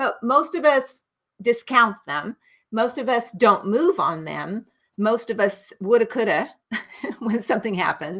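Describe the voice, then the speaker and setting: A woman's unremarkable speaking voice in an American accent, fairly high in pitch, with lively intonation at a fairly slow pace, on a very clean recording with a silent background. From United States. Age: 60s. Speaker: nurse practitioner. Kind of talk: interview.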